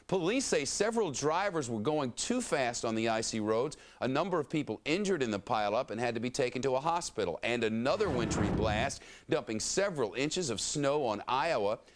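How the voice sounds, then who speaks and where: A man with an American accent, very wide pitch swings, hardly any pauses, and noticeable background noise. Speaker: TV news anchor. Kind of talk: TV news read. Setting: studio. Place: studio.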